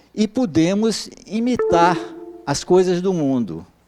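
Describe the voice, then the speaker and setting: A man with a high voice and lively intonation talks over noticeable background noise. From Brazil, Bahia. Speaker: professor. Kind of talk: lecture. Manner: halting, many filler sounds.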